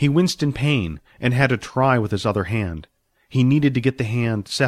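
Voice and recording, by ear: The background stays quiet. Someone reads aloud in a natural voice, with ordinary pitch variation.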